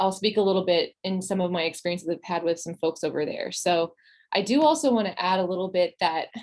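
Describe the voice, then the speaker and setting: Here a woman speaks at a very fast pace. Her pitch is medium, with ordinary pitch variation. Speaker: psychology postdoctoral fellow presenting webinar. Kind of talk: webinar lecture.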